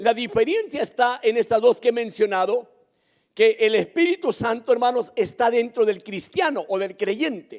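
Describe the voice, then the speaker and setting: A man talks at a moderate pace in an extremely high pitch, with ordinary pitch variation. The recording is very clean, with a silent background. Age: 60s. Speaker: pastor. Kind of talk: sermon. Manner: emphatic, repetitive preaching.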